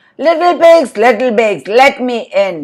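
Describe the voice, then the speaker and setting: A put-on character voice growls at a moderate pace with a fairly high pitch. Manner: hungry and menacing.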